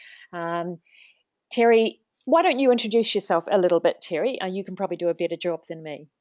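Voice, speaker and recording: Talking at a very fast pace with a New Zealand accent, a woman keeps a medium pitch, ordinary pitch variation and big swings in loudness. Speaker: organisational psychologist, webinar host. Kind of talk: webinar interview. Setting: online webinar, video call.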